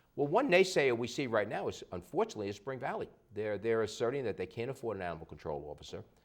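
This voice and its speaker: With vocal fry and medium pitch, a man races along at a very fast pace, with very wide pitch swings and hardly any pauses. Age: 60s. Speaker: local politician. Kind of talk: TV interview.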